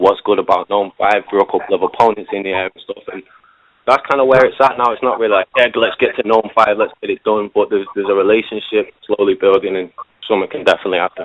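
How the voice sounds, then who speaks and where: A man talking very fast with big swings in loudness. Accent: English. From England. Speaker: battle rapper. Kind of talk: casual interview.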